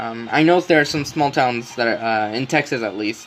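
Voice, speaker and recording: At a moderate pace, a man with a Spanish accent speaks at a medium pitch with ordinary variation. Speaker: game streamer. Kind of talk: casual live stream chat. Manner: halting, many fillers.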